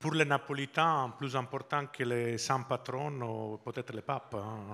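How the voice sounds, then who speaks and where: A man speaks with a slight Italian accent and fairly even intonation. The recording is very clean, with a silent background. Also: medium pitch for a man, fairly slow pace. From Italy, Sardinia. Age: 50s. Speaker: business executive. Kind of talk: interview. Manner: halting.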